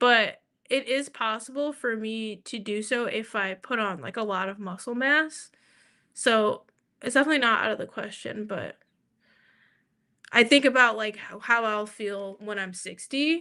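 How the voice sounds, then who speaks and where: A woman's fairly high, bright, sharp voice with an American accent, ordinary pitch variation, big swings in loudness and a moderate pace against a quiet background. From New York. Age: 30s. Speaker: livestreamer and artist. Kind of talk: casual chat. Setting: livestream. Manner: casual, filler-heavy.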